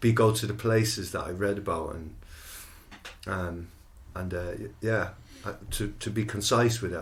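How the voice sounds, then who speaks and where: Someone with an Irish accent speaks at a moderate pace with fairly even intonation and long, frequent pauses, and room echo is audible. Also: man, fairly low pitch for a man. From Ireland, Athlone (Roscommon side). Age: 40s. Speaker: musician, band co-founder. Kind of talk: casual chat. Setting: studio. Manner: halting, many fillers.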